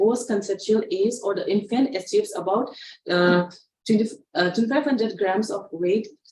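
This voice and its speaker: The woman's voice is fairly high and somewhat breathy. Its pitch moves in a normal way. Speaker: pediatric nurse trainer. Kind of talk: online training lecture. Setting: online session. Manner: fast; halting.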